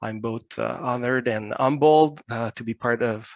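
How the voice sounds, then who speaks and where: In a Quebec accent, a man talks at a medium pitch. His pace is moderate. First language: French. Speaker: research scientist. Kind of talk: conference talk. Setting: video call from home. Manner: reading notes.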